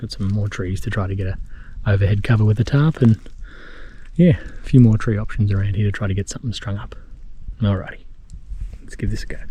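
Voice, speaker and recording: Whispering quietly in an Australian accent, a man talks at a fairly quick pace. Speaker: outdoor camping vlogger. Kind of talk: solo vlog narration. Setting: outdoors in bush by a river. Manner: quiet, near whisper; casual, relaxed.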